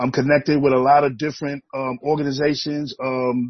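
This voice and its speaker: The speaker is a man with a fairly high pitch and a somewhat breathy sound. He talks at a fairly slow pace. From New York City (Brooklyn). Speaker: activist. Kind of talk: casual chat.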